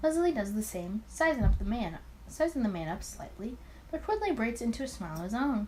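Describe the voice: Over faint background noise, a woman speaks at a fairly quick pace with a fairly high pitch, big pitch swings and a dark, mellow tone.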